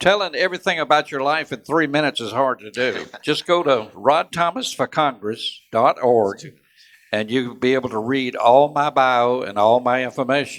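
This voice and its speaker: With a coastal Georgia accent, a man talks at medium pitch with ordinary pitch variation. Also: moderate pace. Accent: US Southern (coastal Georgia). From US South, Georgia (Savannah area). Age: 70s. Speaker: congressional candidate, Vietnam veteran. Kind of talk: candidate forum speech.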